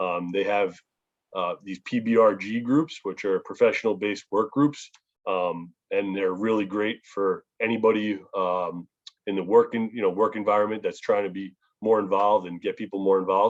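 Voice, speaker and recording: Speaking in a New York accent, a man has a fairly low voice. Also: fairly even intonation, moderate pace. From New York, Long Island. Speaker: public speaker on family legacy. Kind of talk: talk to youth group on video call. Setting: video call.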